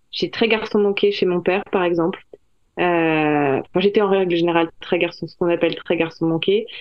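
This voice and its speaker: A woman with a fairly low voice talks at a moderate pace with fairly even intonation. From France. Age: 40s. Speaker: novelist. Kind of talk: interview. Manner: hesitant, many fillers and repeated words.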